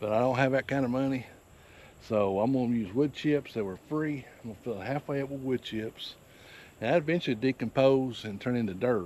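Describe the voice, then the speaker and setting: With a normal speaking voice and ordinary pitch variation, a man talks in a medium pitch. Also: fairly quick pace. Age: 60s. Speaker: farmer. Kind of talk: tutorial. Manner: casual, rambling with fillers.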